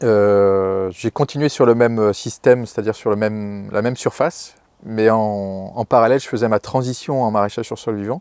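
A man speaks at a medium pitch and a moderate pace, with ordinary pitch variation. The sound is dry with no echo, and the background is quiet. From Brittany, France (Morbihan, near Lorient); Brittany. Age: 40s. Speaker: market gardener. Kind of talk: interview, farm portrait. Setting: on the farm. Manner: hesitant, many fillers and repetitions. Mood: calm and explanatory. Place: farm machine. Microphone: lapel.

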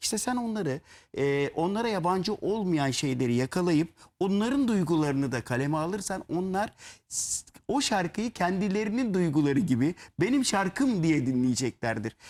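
In a very clean recording with a silent background, a high-pitched man talks at a moderate pace with very wide pitch swings. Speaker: lyricist. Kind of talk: interview.

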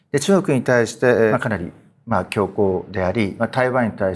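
At a moderate pace, a man speaks in an unremarkable speaking voice with a medium pitch. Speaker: political analyst and show host. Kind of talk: panel discussion. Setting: studio. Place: studio.

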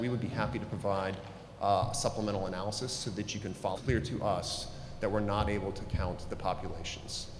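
Noticeable background noise and audible room echo surround this man's voice. He speaks at a fairly low pitch with fairly even intonation. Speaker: attorney advising on redistricting. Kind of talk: formal briefing at public meeting. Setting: public board meeting. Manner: loud.

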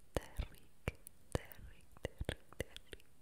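Soft-spoken and whispering, the voice moves at a very slow pace. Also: woman. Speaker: ASMR creator. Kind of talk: whispered ASMR name saying. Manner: soft close-mic whisper repeating a name. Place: home room. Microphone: studio mic.

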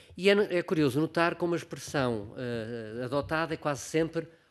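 A man's fairly high voice shows ordinary pitch variation, with a quiet background behind it. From Portugal. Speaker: filmmaker and actor; actor. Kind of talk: conference talk. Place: hall. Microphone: podium.

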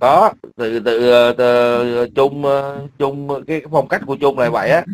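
This man has a medium pitch and fairly even intonation. He talks at a fairly slow pace.

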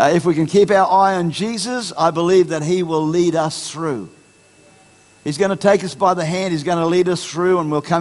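A man's high-pitched voice with ordinary pitch variation at a moderate pace. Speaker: pastor. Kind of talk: sermon. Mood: encouraging, earnest. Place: church. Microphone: headset.

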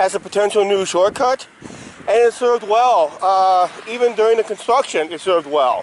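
A man's high-pitched voice with lively intonation at a moderate pace, dry with no echo, over light background noise. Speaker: vlogger. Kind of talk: casual vlog chat. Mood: cheerful. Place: street. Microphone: phone near.

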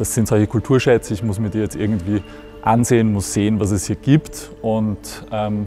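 The speech moves at a fairly quick pace, with faint music in the background. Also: man. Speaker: museum editor. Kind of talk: interview answer. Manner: casual, reflective, with frequent hesitations. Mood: warm, nostalgic. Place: hall. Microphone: lapel.

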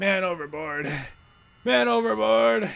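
A man performs a put-on character voice at a fairly high pitch. He goes fairly slowly, with lively intonation. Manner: screaming for help.

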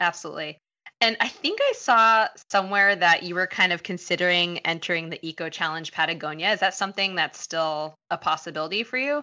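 This woman has an ordinary speaking voice, fairly low in pitch, and talks at a fairly quick pace with ordinary pitch variation. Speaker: podcast host, dietitian and running coach. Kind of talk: podcast interview.

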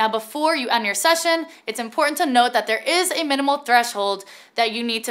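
Against a quiet background, a woman projects a raised voice with a bright, sharp tone and ordinary pitch variation. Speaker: presenter. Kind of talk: tutorial. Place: studio.

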